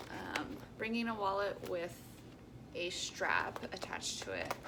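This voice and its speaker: Whispering at a very slow pace, a woman is heard amid noticeable background noise and audible room echo. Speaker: travel vlogger. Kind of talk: casual vlog. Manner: casual with many filler ums.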